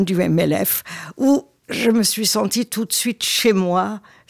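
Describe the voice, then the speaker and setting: The sound is dry and close with no echo. The speaker is a woman. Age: 80s+. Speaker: retired journalist and local politician. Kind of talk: casual chat.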